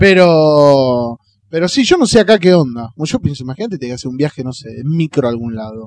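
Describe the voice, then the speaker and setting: A man with a Rioplatense accent at a fairly quick pace. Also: fairly high pitch for a man, lively intonation, big swings in loudness. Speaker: podcast host. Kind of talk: casual chat.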